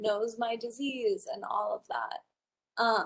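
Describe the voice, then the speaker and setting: In an American accent, a woman uses a normal speaking voice with fairly high pitch and ordinary pitch variation. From Wyoming, US. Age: 20s. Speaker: college student and patient. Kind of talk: conference presentation.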